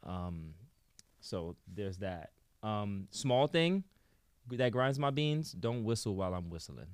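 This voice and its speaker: A man with a New York accent, fairly low in pitch, very slow, with long, frequent pauses and very wide pitch swings, on a very clean recording against a silent background. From New York, the Bronx. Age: 30s. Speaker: musician and producer. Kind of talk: interview. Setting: studio.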